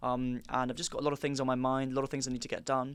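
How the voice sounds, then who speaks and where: Talking at a very fast pace, a man with a fairly high pitch speaks in a southern English accent. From Wiltshire, England. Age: 19. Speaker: podcast guest, student. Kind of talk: casual chat.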